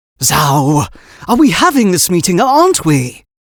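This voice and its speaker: A man puts on a character voice with a high pitch. His pitch swings very widely at a moderate pace. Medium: read story. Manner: curt, impatient, bossy.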